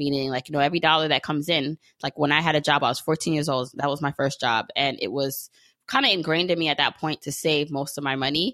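A woman with an American accent has a very deep, low voice with a bright, sharp tone and fairly even intonation. The sound is dry and close with no echo, in a very clean recording with a silent background. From Brooklyn, New York. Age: 30s. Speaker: podcaster and personal finance entrepreneur. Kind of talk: interview.

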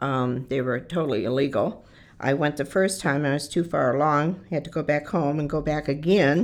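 An American-accented woman's voice, very deep and low in pitch, with ordinary pitch variation, a moderate pace and a very clean recording over a silent background. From Michigan, Detroit area. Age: 60s. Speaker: shelter resident sharing life story, army veteran. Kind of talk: personal testimony.

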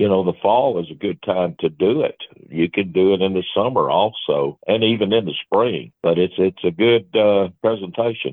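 At a moderate pace, a man talks in an ordinary speaking voice with a fairly low pitch and ordinary pitch variation. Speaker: fishing guide. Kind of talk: casual interview.

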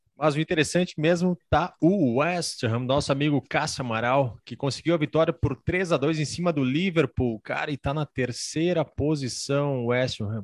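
Someone with a Brazilian accent speaks at a fairly quick pace with hardly any pauses and ordinary pitch variation. The sound is dry and close with no echo, over a quiet background. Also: man, fairly high pitch for a man. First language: Portuguese. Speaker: podcast host. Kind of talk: casual chat.

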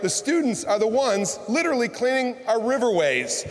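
Through noticeable background noise, a man with an American accent talks at a fairly quick pace with lively intonation. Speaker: county executive. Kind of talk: speech. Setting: stage with audience.

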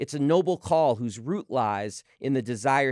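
With lively intonation, a man talks in a normal speaking voice on a very clean recording with a silent background. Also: dry, close sound with no echo. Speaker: sports podcast host. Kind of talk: interview and commentary.

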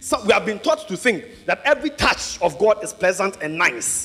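Over music in the background, a man speaks in a raised, projected voice with an animated tone and lively intonation. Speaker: preacher. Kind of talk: sermon. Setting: church with congregation. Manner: animated, rousing call-and-response; loud, urgent, full of exhortation.

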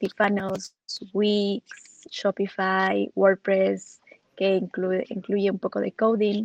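A woman speaks very slowly at a medium pitch, with monotone, flat intonation and a dry, close sound with no echo. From Ecuador. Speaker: digital marketing specialist. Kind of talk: interview on livestream.

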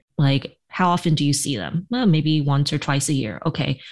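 Against a quiet background, a woman with an American accent speaks with ordinary pitch variation. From New York, US. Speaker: hospice physician and podcaster. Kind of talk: casual interview chat.

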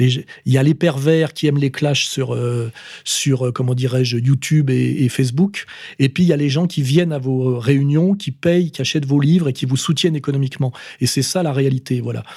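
Talking at a moderate pace, a man with a fairly high, somewhat breathy voice and a dark, mellow tone keeps his intonation fairly even. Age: 50s. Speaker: political commentator. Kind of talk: monologue answering voicemail questions. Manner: hesitant, many fillers.

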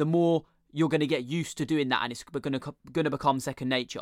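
A man with a British accent talks at a very fast pace in an animated, enthusiastic tone, in a very clean recording with a silent background. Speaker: podcast host. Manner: animated, enthusiastic intro.

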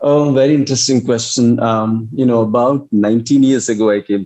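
Delivered at a moderate pace, the voice has a dark, mellow tone and an Indian accent. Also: man. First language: Hindi. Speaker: English professor. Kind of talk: interview conversation. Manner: hesitant, filler-heavy.

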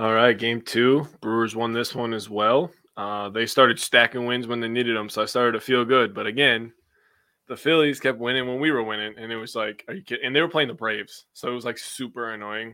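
A man talks at a fairly quick pace in a medium pitch. He has an ordinary speaking voice and fairly even intonation. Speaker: sports podcast co-host. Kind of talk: casual chat.

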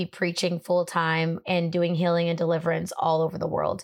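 A fairly quick-paced woman's voice, fairly low in pitch. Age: 30s. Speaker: faith-based entertainment CEO and minister. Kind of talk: casual chat. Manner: animated.

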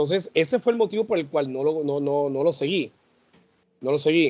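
A man speaks with an ordinary speaking voice at a moderate pace. His intonation is lively. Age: 40s. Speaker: podcast co-host. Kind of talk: casual chat.

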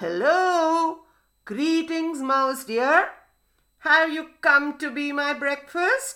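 A woman's put-on character voice, high-pitched, bright and sharp, very slow, with ordinary pitch variation.

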